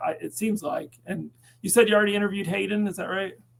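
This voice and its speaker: High-pitched male speech over noticeable background noise. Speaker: advocacy group board member. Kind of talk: casual interview chat. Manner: stutters here and there.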